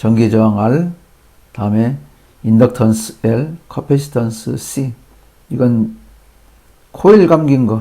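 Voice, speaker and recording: Speaking very slowly, a man with a medium pitch and a dark, mellow tone uses ordinary pitch variation. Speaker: electrical engineering educator. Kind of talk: lecture.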